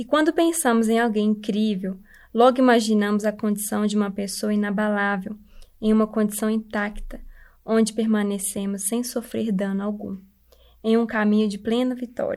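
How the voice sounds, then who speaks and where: In a very clean recording with a silent background, a woman with a normal speaking voice talks at a moderate pace, her fairly high pitch held in fairly even intonation. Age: 20s. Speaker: church member giving devotional. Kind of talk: devotional talk.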